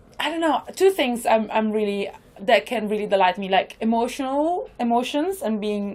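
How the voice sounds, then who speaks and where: A high-pitched woman with an Italian accent, lively intonation and a moderate pace. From northern Italy. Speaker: improviser. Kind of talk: podcast interview. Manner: talkative.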